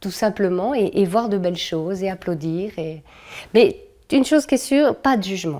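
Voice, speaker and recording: Her tone dark and mellow, a woman speaks at a moderate pace with long, frequent pauses on a very clean recording with a silent background. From France. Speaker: cultural organizer and puppeteer. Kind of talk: interview. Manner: hesitant, many fillers.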